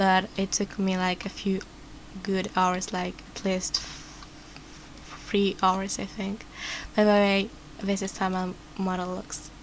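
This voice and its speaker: Speaking at a very slow pace with long, frequent pauses, a woman keeps a monotone, flat intonation. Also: medium pitch for a woman. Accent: non-native. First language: not English. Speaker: vtuber. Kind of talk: tutorial. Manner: halting.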